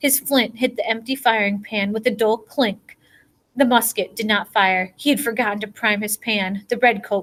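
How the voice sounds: Ordinary pitch variation in a natural reading voice.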